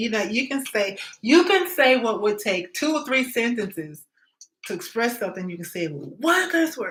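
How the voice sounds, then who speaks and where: A woman speaks at a moderate pace in a fairly high pitch. Her pitch swings very widely. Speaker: tarot reader. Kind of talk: live-stream tarot reading. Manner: casual, conversational.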